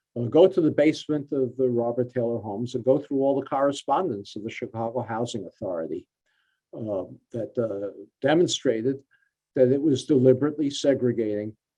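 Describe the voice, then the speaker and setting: His tone is dark and mellow, with ordinary pitch variation. The man talks at a fairly quick pace. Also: medium pitch for a man. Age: 70s. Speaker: author and policy researcher. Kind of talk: Q&A answer at a forum. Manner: halting, many fillers.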